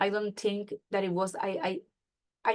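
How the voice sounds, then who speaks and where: A woman speaks at a fairly quick pace with a strong Spanish accent. Her intonation stays fairly even. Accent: heavy Spanish. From Puerto Rico. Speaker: patient advocate. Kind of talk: testimony.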